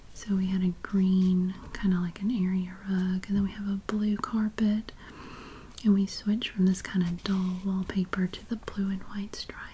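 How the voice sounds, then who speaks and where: Someone whispers, soft-spoken, at a moderate pace. Noticeable background noise is present. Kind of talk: ASMR magazine look-through. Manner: soft-spoken with some whispering.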